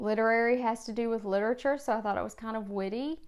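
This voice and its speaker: Fairly high in pitch for a woman, her voice with an American accent keeps fairly even intonation in a very clean recording with a silent background. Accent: regional accent, noticeable (she dislikes it). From rural Virginia, US. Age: 30s. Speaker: booktuber, high school librarian. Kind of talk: casual vlog monologue.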